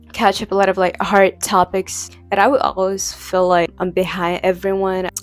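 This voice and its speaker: A woman with a non-native accent speaks in a monotone, flat intonation. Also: medium pitch for a woman, moderate pace. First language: not English. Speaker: language learning vlogger. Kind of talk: casual talk to camera. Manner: hesitant, many fillers.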